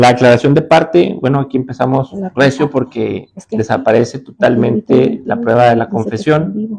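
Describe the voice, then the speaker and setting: A man talks at a moderate pace in a normal speaking voice with a fairly high pitch. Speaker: judge and law lecturer. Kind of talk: lecture.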